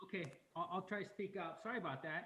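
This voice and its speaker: A man at a very fast pace, with audible room echo. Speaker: mayor chairing city council meeting. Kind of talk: council meeting chairing. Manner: quiet. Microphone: very low, cutting out.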